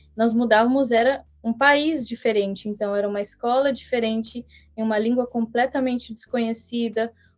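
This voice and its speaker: A woman speaks at a moderate pace in a fairly high, flat monotone. Music plays in the background. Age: young. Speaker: missionary. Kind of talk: podcast interview.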